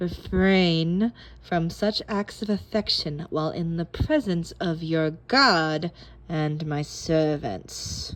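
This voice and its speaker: A hissing, put-on character voice at a middle pitch and a very slow pace. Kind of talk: formal, archaic. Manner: hissing, annoyed.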